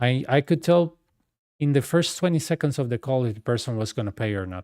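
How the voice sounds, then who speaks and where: In a very clean recording with a silent background and a dry, close sound with no echo, a man with a Costa Rican accent and a medium pitch speaks at a fairly quick pace with lively intonation. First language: Spanish. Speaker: gaming streamer. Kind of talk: casual chat. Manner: animated.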